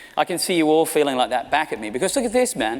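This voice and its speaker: With an Australian accent, a man talks at a very fast pace against noticeable background noise. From Australia, small country town. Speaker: marketing executive. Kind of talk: keynote talk. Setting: stage with audience. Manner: animated.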